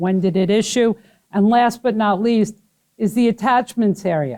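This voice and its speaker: In a Brooklyn accent, a woman speaks with ordinary pitch variation, the sound dry and close with no echo. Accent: New York (Brooklyn). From Brooklyn, New York. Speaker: HR trainer. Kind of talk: training class. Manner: fast.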